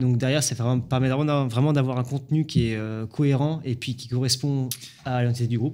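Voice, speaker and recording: A man with a dark, mellow tone speaks at a moderate pace in a monotone, flat delivery. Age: 20s. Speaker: drywall jointer and content creator; content creator. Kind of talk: casual chat. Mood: calm, relaxed storytelling. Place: studio. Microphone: studio mic.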